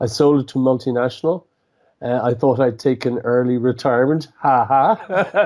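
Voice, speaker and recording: An Irish accent marks a man's speech, held at very even loudness. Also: medium pitch for a man, ordinary pitch variation, moderate pace. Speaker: entrepreneur and author. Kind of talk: interview. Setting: radio show. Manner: halting, frequent repetitions.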